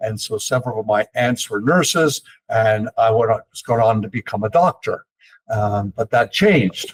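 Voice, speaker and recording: A man at medium pitch and moderate pace, somewhat breathy, with ordinary pitch variation and a dry, close sound with no echo. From eastern Canada, Toronto. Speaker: investment company executive. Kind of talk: interview. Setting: podcast.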